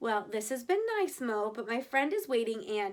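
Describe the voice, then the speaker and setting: A woman's put-on character voice, fairly high in pitch, with lively intonation. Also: moderate pace. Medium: read story. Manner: prim, proper.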